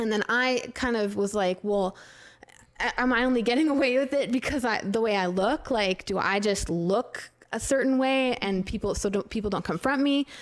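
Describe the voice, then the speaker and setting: At a moderate pace, a woman with a fairly high pitch speaks with very even loudness and ordinary pitch variation. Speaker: podcast co-host. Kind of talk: casual chat. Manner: polite, pleasant.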